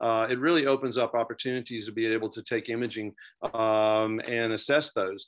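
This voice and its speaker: Against a quiet background, a man speaks at medium pitch with fairly even intonation. He keeps a fairly quick pace. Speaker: dentist. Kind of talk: webinar panel discussion. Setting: video call. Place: home room. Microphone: video call.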